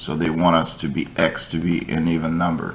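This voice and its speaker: A man with a non-native accent talks at a fairly slow pace. His pitch is very deep and low. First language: not English. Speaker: coding tutor. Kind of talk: tutorial. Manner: halting.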